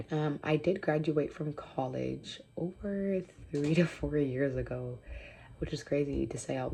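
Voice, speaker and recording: At a fairly slow pace, a woman speaks with a very deep, low pitch and a dark, mellow tone. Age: 20s. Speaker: vlogger. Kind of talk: casual chat. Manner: casual, with many fillers.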